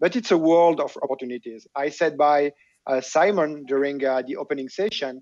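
Over a quiet background with a dry, echo-free sound, a man in a French accent speaks at a moderate pace with a fairly high pitch and ordinary pitch variation. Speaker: tech executive; panelist. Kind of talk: panel discussion. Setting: video call. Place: home room. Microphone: video call.

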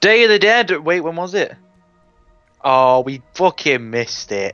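With a Mancunian accent, a man talks at a high pitch that swings very widely. Music plays behind him. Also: fairly slow pace. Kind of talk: casual gaming commentary.

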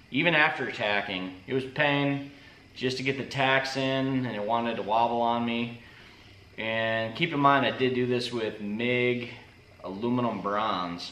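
There is audible room echo around a man's voice. He talks at a moderate pace with ordinary pitch variation. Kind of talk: casual vlog chat. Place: workshop. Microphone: camera far.

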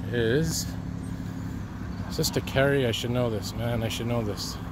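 Over noticeable background noise, a man talks at a fairly slow pace, the sound dry with no echo. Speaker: walking video host. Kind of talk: casual vlog narration. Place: street. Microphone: phone near.

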